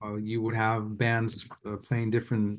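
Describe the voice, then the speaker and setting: An American accent marks this man's speech. He talks at a moderate pace and medium pitch. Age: 30s. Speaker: political cartoonist. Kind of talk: casual chat. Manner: halting.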